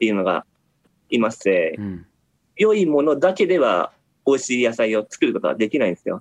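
A man's speech comes across dry and close, without any echo. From Japan, Nagoya. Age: 40s. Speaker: farmer. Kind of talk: interview. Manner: halting.

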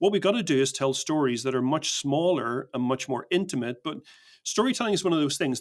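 On a very clean recording with a silent background, a man with an Irish accent talks at a fairly high pitch. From Northern Ireland, Belfast. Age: 50s. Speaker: storytelling consultant. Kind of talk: casual interview.

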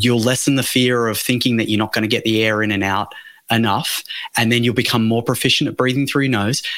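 At a fairly quick pace, a man speaks in an unremarkable speaking voice with medium pitch. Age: 40s. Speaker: breathing coach. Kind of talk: interview.

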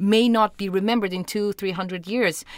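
A woman with a Portuguese accent at medium pitch, fairly quick, with ordinary pitch variation. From Portugal, Lisbon. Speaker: orchestra conductor. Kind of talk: interview. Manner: hesitant, many fillers.

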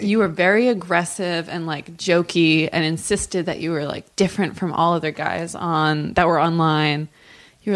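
At a moderate pace, a woman is speaking. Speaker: podcast guest.

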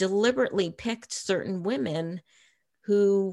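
A medium-pitched woman with an American accent. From Massachusetts, US. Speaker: novelist and former intelligence analyst. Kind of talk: interview.

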